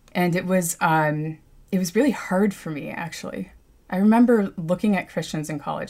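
The speaker has an American accent and vocal fry, at a moderate pace with ordinary pitch variation. The recording is very clean, with a silent background. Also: woman. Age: 30s. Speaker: environmental activist and cartographer. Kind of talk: interview. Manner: many fillers and hesitations.

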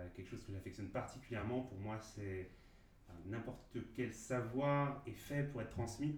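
In a room with audible echo, a man speaks at a fairly slow pace, somewhat breathy, with fairly even intonation. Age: 30s. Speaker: father sharing parenting experience. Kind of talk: interview conversation. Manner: halting, many hesitations.

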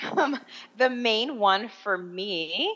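A woman with an American accent speaks in a bright, sharp tone with vocal fry. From Miami, Florida, US. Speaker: online English teacher, former teacher abroad. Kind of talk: interview.

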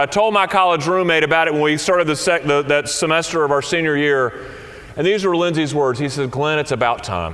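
A man with a Southern US accent, fairly high in pitch, at a moderate pace with ordinary pitch variation. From US South. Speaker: senior minister. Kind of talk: sermon.

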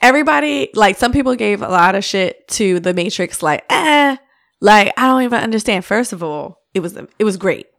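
A woman of medium pitch speaks in a plain, everyday voice at a moderate pace. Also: lively intonation. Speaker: podcast guest. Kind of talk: casual chat.

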